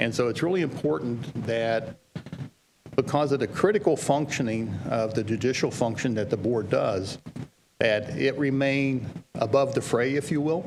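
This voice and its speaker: With a West Virginia accent, a man talks at a medium pitch and a moderate pace. His intonation is lively. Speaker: legal trainer for school boards. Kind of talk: training presentation.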